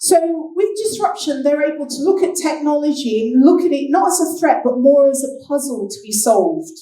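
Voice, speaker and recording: A woman speaks at a moderate pace in a high pitch, her intonation lively. Room echo is audible. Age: 60s. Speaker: business speaker. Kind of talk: keynote talk.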